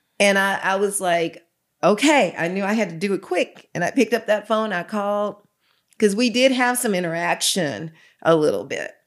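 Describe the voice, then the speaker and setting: A woman with a plain, everyday voice speaks at a moderate pace and a medium pitch with ordinary pitch variation, on a very clean recording with a silent background. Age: 60s. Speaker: pastor. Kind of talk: testimony.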